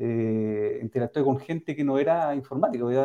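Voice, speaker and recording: A man, a plain, everyday voice, moves along at a moderate pace. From Valdivia, southern Chile. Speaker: fintech company co-founder. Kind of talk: interview.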